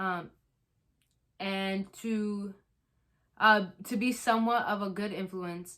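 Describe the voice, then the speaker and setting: Loud and bright, sharp in tone, a woman at medium pitch speaks very slowly in a monotone, flat way, leaving long, frequent pauses. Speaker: YouTuber. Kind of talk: casual chat. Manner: hesitant, many ums.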